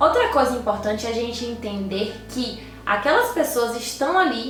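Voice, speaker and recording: A woman's fairly high voice with lively intonation, amid noticeable background noise and audible room echo. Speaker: YouTuber giving tips to lawyers. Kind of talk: tutorial.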